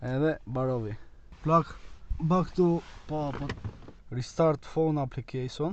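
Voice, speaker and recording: With an Albanian accent, a man of fairly high pitch speaks at a moderate pace with ordinary pitch variation and long, frequent pauses, over noticeable background noise. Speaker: car vlogger. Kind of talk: casual tutorial. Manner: animated.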